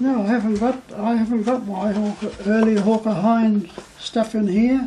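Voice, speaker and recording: At a moderate pace, a man speaks in a high pitch over light background noise. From New Zealand. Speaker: war veteran. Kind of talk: interview answer. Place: home room.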